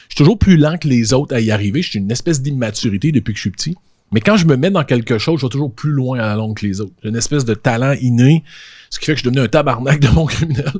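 Against a quiet background, a man talks very fast in an animated, somewhat breathy tone with lively intonation. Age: 40s. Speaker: podcaster and social media influencer; podcaster, social media influencer. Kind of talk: casual conversation. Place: studio. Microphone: handheld.

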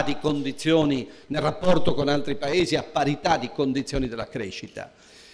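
Here a man talks. His pace is moderate. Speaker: politician at a party conference. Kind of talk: political speech. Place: hall. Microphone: podium.

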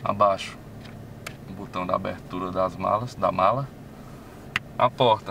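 Through noticeable background noise, a man with a fairly low pitch talks fairly slowly and evenly, leaving long, frequent pauses. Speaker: car reviewer. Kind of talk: car review video. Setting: in a car.

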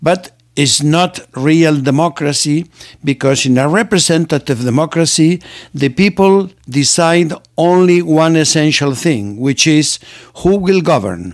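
Against a quiet background, a man with a non-native accent talks at a fairly slow pace in a fairly high pitch, with ordinary pitch variation and very even loudness. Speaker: political commentator. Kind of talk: lecture. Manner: formal. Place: home room. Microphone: studio mic.

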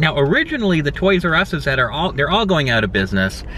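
A man at a fairly quick pace with lively intonation, light background noise and a dry sound with no echo. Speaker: family toy vlogger. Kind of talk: casual vlog chat. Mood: cheerful, laughing. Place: car. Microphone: phone near.

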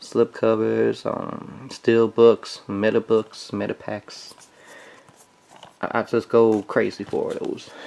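Noticeable background noise fills the recording. A man talks at a very slow pace. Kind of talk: casual unboxing talk to camera.

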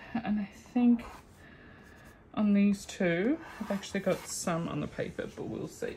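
Somewhat breathy, a woman speaks at a fairly slow pace with lively intonation over light background noise. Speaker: craft video creator. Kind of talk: casual tutorial. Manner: laughing often. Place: home room. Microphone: phone near.

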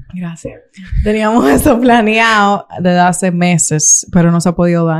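With a Dominican accent, a woman speaks at a moderate pace with ordinary pitch variation. The background is quiet. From Santo Domingo, Dominican Republic; Dominican Republic. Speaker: YouTuber; interview guest, content creator. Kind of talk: interview. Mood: candid, somewhat aggrieved at times. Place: studio. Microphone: studio mic.

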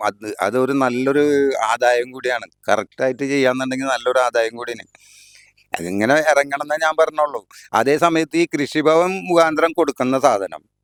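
In a dry, close recording with no echo, a man talks at a medium pitch with ordinary pitch variation. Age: 60s. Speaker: farmer. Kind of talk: interview. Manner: halting.

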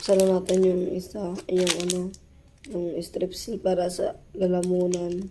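At a fairly slow pace, a woman speaks at a medium pitch. Her intonation is monotone and flat, with noticeable background noise. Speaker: vlogger. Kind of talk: casual vlog talk.

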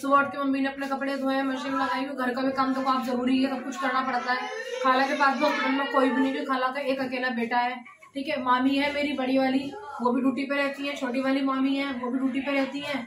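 With audible room echo, the speaker goes at a fast pace with few pauses, a fairly bright tone, and little pitch movement. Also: woman, high pitch for a woman.

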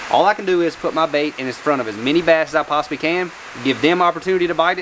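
Light background noise sits behind the voice. A man talks at a very fast pace. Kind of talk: casual vlog chat. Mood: reflective, earnest. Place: garage. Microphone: lapel.

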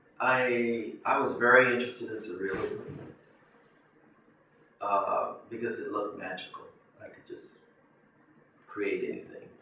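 A man with an American accent speaks fairly slowly with long, frequent pauses. Audible room echo and light background noise are present. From South Carolina, USA. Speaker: painter. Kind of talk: interview answer. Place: home room.

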